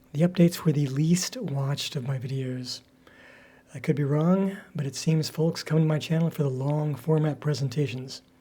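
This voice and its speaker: A somewhat breathy, dark, mellow male voice, fairly high in pitch, with ordinary pitch variation at a moderate pace. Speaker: crafter and storyteller. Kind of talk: casual talk to camera.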